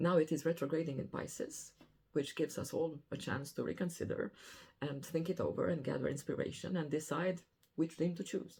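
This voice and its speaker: Speaking fairly quickly with a non-native accent, a woman uses a very deep, low pitch, a somewhat breathy, dark, mellow tone and fairly even intonation. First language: not English. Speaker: astrologer. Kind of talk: weekly astrology forecast monologue.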